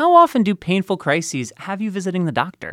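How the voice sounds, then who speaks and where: A man's high-pitched voice at a very fast pace, dry and close with no echo, in a very clean recording with a silent background. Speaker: podcast host. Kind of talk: podcast hosting, news reading.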